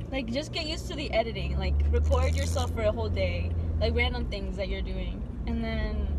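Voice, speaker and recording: A woman talks at a fairly quick pace with ordinary pitch variation. The sound is dry with no echo, and the background noise is loud. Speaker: vlogger. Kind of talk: casual vlog chat. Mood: encouraging, friendly. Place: car. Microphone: phone near.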